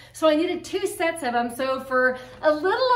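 A woman's high-pitched voice with audible room echo. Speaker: home decor vlogger. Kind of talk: casual vlog chat. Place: home room. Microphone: camera far.

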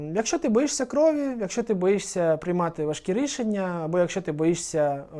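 With a dark, mellow tone and a high pitch, a man speaks at a moderate pace, his voice making very wide pitch swings. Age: 20s. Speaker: veterinary anesthesiologist. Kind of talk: interview answers.

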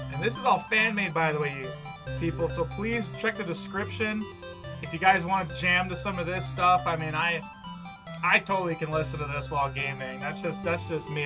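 A man talks fairly quickly while music plays clearly behind him. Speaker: reaction video host. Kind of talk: casual reaction commentary.

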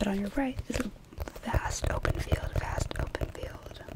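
Whispering comes through at a very slow pace. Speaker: ASMR artist. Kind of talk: guided imagery relaxation. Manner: soft-spoken, whispered. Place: home room. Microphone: studio mic.

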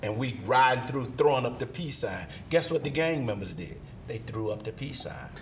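At a fairly quick pace with ordinary pitch variation, the voice swings widely in loudness over light background noise. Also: man. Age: 60s. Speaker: minister. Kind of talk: interview. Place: studio. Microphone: lapel.

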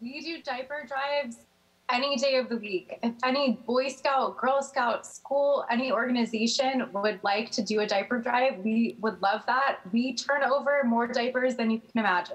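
A woman speaks at a moderate pace in a high voice with ordinary pitch variation. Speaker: remote guest. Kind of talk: interview answer. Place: home room. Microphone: video call.

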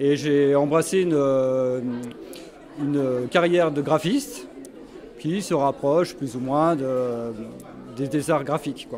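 A man with a fairly high pitch and fairly even intonation, at a very slow pace with long, frequent pauses, over light background noise. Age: 60s. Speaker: painter; interviewee. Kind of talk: interview. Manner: halting. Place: hall. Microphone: handheld.

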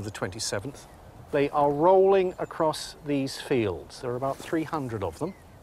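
Lively in intonation, a man speaks at a fairly slow pace in a dry sound with no echo over light background noise. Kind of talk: explanatory interview talk. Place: open country.

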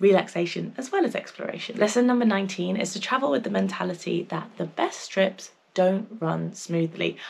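The speaker has an English accent. The pace is fairly quick. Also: woman. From England. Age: 20s. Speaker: travel vlogger. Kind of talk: casual vlog talk to camera. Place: home room.

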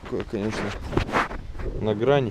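Noticeable noise runs in the background while a man talks. His voice sounds dry, without any echo. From Magadan region, Russia. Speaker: travel vlogger. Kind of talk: casual vlog narration. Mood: nostalgic, relaxed. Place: open country. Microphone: phone near.

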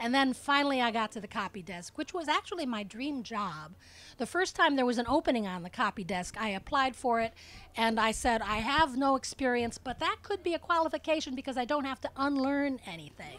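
At a fairly quick pace, a woman with a high voice swings very widely in pitch, in a dry sound with no echo. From US Midwest (Cleveland, Ohio); Ohio. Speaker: copy editor and author; interviewee. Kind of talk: public interview. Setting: stage with audience. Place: tent. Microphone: handheld.

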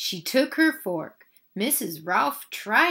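Against a quiet background, the recording features reading aloud in a natural voice.

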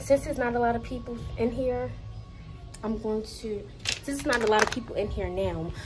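A woman at a moderate pace with noticeable background noise. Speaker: vlogger. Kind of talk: casual vlog chat. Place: gym. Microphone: phone near.

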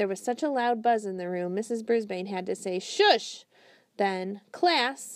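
Natural reading voice, its pitch varying ordinarily.

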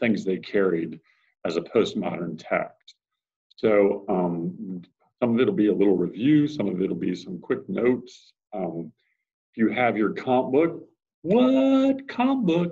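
A man with a medium pitch and a dark, mellow tone speaks at a fairly slow pace. His pitch swings very widely over a quiet background. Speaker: teacher. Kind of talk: classroom lecture to students. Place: classroom. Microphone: webcam.

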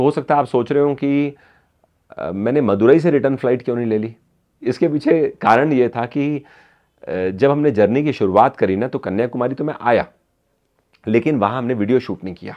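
Against a quiet background, the voice keeps a moderate pace with ordinary pitch variation and long, frequent pauses. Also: man. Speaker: travel vlogger. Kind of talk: casual vlog chat. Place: home room.

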